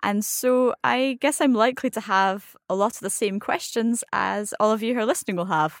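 In a Scottish accent, the speaker talks at a moderate pace with hardly any pauses and ordinary pitch variation, on a very clean recording with a silent background. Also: woman, fairly high pitch for a woman. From Scotland. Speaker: advanced French learner. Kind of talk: casual educational chat.

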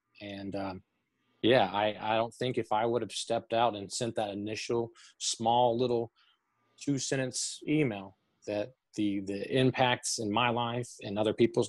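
Here a man with a Southern US accent speaks at medium pitch and a moderate pace. His intonation is monotone and flat, and the background is quiet. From Tennessee, Chattanooga. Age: 30s. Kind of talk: interview. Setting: video call. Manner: halting, many fillers.

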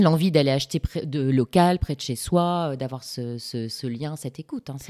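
This woman's voice sits very deep and low, with a dark, mellow tone and ordinary pitch variation. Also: dry, close sound with no echo, very clean recording, silent background. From northern France, Lille. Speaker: podcast host, communications freelancer. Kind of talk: interview.

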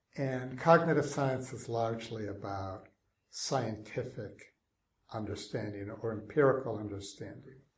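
His voice comes across as somewhat breathy. The man keeps to a moderate speed. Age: 60s. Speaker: technology ethicist. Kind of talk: interview.

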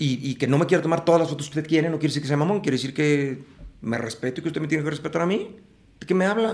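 A man speaks at a very fast pace in a fairly high voice. His pitch varies in an ordinary way. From Mexico City. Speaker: actor and playwright. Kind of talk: casual interview. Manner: animated.

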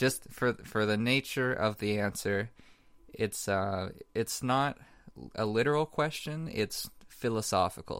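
At a fairly slow pace, a man talks in a plain, everyday voice with medium pitch. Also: ordinary pitch variation, very even loudness. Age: 20s. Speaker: podcast co-host. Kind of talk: casual chat.

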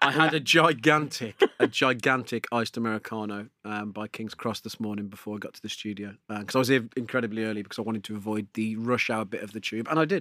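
In a very clean recording with a silent background, a man with an English accent talks at a very fast pace, his sound dry and close with no echo. His tone is bright and sharp at medium pitch, with ordinary pitch variation and big swings in loudness. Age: 40s. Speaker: podcast host. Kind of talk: casual chat. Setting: studio.

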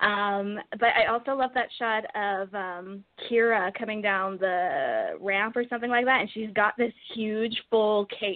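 Moving at a fairly slow pace, a woman has an ordinary speaking voice with ordinary pitch variation. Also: fairly high pitch for a woman. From Edmonton, Canada. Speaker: caller. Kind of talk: casual chat. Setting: phone call.

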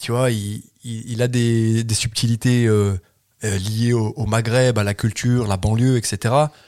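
The background is silent and the recording very clean. A man talks in a flat, monotone way. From France, Loire. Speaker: comedian. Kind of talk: casual chat.

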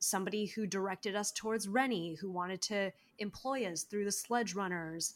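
A woman with an American accent, medium in pitch and fairly even in intonation, on a very clean recording with a silent background. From Los Angeles. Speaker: actress and audio performer.

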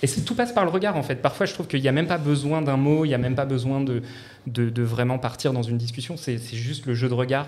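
A man rattles along at a very fast pace, his pitch medium and its variation ordinary. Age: 30s. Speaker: civil society advisor. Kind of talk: casual chat.

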